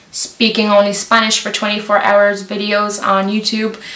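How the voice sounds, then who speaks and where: There's noticeable background noise as a woman of medium pitch speaks at a fairly slow pace. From Lithuania. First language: Lithuanian. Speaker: YouTuber. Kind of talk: casual Q&A vlog.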